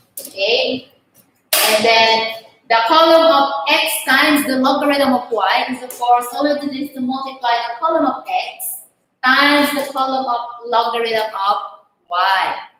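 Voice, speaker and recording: A woman with a high pitch speaks at a fairly slow pace with ordinary pitch variation, and audible room echo can be heard. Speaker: math teacher. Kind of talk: online lesson. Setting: online class.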